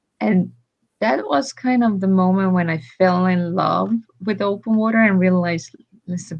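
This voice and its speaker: A woman talks in a somewhat breathy voice, her medium pitch moving with ordinary variation. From Estonia. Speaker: swimmer and ocean advocate. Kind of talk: casual interview chat.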